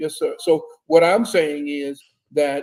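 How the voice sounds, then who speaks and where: Fairly high for a man yet dark and mellow in tone, this man's voice moves at a fairly slow pace. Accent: American. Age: 70s. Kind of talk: interview, explaining history.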